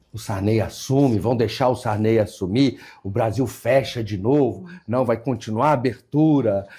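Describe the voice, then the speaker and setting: A man's medium-pitched, somewhat breathy voice with a dark, mellow tone and ordinary pitch variation, on a very clean recording with a silent background. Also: moderate pace. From Brasília, Brazil. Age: 60s. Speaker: state government secretary. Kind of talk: interview. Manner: hesitant, repeats words.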